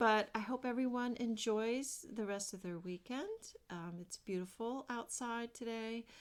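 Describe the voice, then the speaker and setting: A soft-spoken woman mumbles at a fairly high pitch with ordinary pitch variation. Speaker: craft vlogger. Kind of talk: casual chat. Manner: mumbling.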